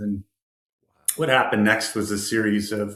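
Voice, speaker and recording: A man with a Canadian accent speaks in a plain, everyday voice. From Canada, rural Ontario. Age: 50s. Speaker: motivational speaker, former homeless addict. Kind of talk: interview, personal story.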